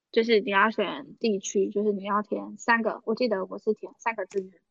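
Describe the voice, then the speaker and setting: With an animated tone and fairly high pitch, a woman speaks at a moderate pace. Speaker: podcast co-host, former auditor. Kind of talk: casual chat. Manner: animated, frequent laughter.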